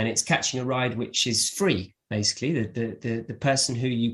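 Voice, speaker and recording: Somewhat breathy, a man with a British accent talks at a moderate pace, his medium pitch showing ordinary variation. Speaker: English teacher, podcast host. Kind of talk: podcast interview questions.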